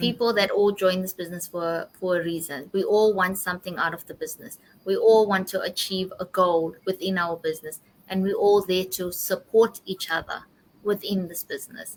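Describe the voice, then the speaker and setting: In an unremarkable speaking voice, a woman of medium pitch speaks at a moderate pace with fairly even intonation. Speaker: podcast host. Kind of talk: casual interview conversation.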